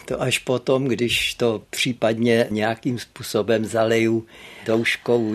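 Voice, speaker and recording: A man's medium-pitched voice unfolds at a very slow pace. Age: 80s+. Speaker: literary historian. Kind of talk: interview. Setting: studio.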